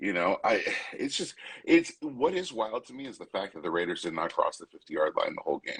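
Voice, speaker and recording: The speech moves at a fairly quick pace and swings widely in loudness. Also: man. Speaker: sports podcast host. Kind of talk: casual sports discussion.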